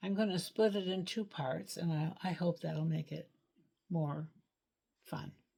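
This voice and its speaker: Somewhat breathy and dark, mellow in tone, the voice moves at a fairly slow pace with long, frequent pauses and ordinary pitch variation. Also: woman, fairly low pitch for a woman. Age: 80s+. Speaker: licensed clinical social worker. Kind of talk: reading aloud a personal letter; casual personal introduction.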